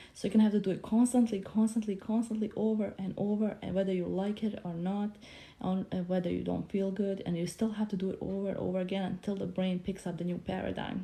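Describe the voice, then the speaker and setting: A woman with a Bosnian accent, very fast pace and hardly any pauses, dark, mellow tone, somewhat breathy, monotone, flat intonation. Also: medium pitch for a woman. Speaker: motivational speaker. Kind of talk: casual livestream talk.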